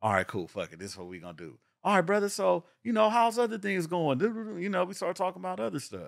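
A man talking very fast with hardly any pauses and big swings in loudness, on a very clean recording with a silent background. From Los Angeles area (San Pedro, Carson). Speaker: real estate agent and entrepreneur. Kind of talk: casual chat.

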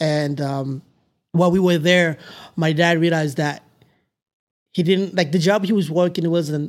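Keeping a moderate pace, a man speaks with fairly even intonation. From Tanzania, then Amarillo, Texas from middle school. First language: not English. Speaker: mechanical engineer. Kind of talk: casual interview. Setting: back porch.

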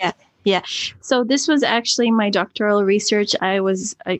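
A woman with a Canadian accent has a plain, everyday voice at medium pitch. Her delivery is moderate in pace with fairly even intonation, in a dry, close sound with no echo. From Canada. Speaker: NGO co-founder, author. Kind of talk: interview. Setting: video call.

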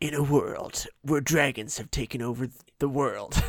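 A man's raspy, put-on character voice, fairly high in pitch, at a moderate pace. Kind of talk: epic announcer delivery.

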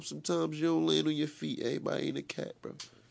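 Against a quiet background, a man with a New York accent talks at a very fast pace. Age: 20s. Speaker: battle rapper. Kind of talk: casual interview.

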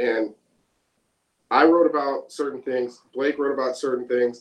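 A man with an American accent speaks in an ordinary speaking voice, fairly high in pitch, at a moderate pace. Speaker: pop-punk band member. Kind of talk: casual interview.

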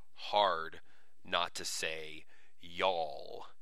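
A man's bright, sharp tone with fairly even intonation and audible room echo. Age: 30s. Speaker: podcast host. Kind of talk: solo announcement monologue. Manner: casual, many filler words.

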